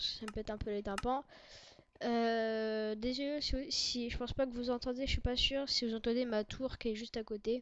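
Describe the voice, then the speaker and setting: Moderate pace and fairly even intonation in a woman's high voice. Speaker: gaming youtuber. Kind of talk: gameplay commentary.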